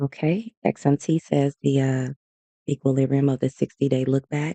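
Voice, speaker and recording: A man with an American accent and a fairly high pitch speaks at a moderate pace with fairly even intonation, his tone dark and mellow in a dry, close sound with no echo. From US South. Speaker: day trader streamer. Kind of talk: live trading commentary. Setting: livestream. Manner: casual, conversational.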